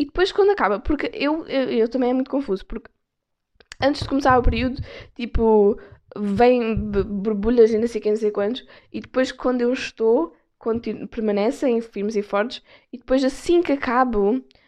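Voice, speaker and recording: A woman with a European Portuguese accent, high in pitch, ordinary pitch variation and long, frequent pauses. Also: moderate pace. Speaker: podcast host. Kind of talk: casual solo chat. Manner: casual, code-switching with English. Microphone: external mic on phone.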